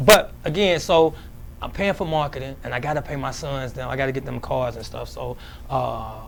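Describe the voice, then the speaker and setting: Against noticeable background noise, a man talks with big swings in loudness. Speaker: cleaning business owner. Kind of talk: interview. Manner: halting; fast.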